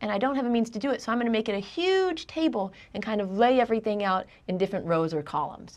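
The voice has very wide pitch swings. It moves at a fairly quick pace. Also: woman. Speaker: instructor. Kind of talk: lecture. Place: studio.

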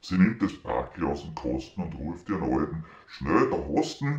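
With vocal fry and a Viennese accent, a man speaks at a very slow pace amid audible room echo. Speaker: mechanics teacher. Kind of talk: poetry reading. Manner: contemplative, lilting. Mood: festive, humorous. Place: home room. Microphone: phone near.

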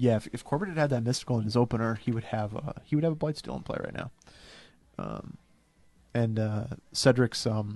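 Ordinary pitch variation marks this man's fairly quick speech. He leaves long, frequent pauses. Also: dry sound with no echo. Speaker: game commentator. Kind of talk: live commentary. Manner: quiet, trying not to be overheard. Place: booth. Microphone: headset.

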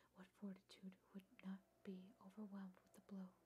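Someone whispers at a fairly slow pace, sounding somewhat breathy. Noticeable background noise can be heard. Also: woman. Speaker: ASMR artist; ASMR reader. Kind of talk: ASMR reading of a classic essay. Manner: whispered. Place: home room.

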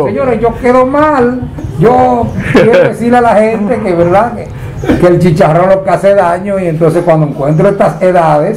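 Light background noise sits behind a man speaking at a high pitch and a moderate pace with lively intonation. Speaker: TV news reporter. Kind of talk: interview questions. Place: home room.

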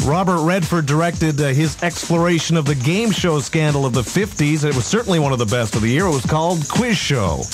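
A man's fairly high voice, fairly quick and lively in intonation, with hardly any pauses over clear background music. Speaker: radio host. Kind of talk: radio countdown banter. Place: studio. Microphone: studio mic.

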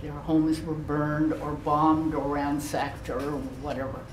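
A woman with a very deep, low pitch at a moderate pace, light background noise and audible room echo. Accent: American. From US Pacific Northwest, Vashon Island; US Pacific Northwest. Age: 90s. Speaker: war internment survivor; guest. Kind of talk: talk to a school class. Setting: classroom. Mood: earnest, reflective. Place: classroom. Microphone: camera far.

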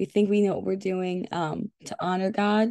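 This woman's voice sits at a medium pitch with a dark, mellow tone. The sound is dry and close, with no echo. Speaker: church devotional leader. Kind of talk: devotional teaching and prayer. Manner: apologetic, keeps it short.

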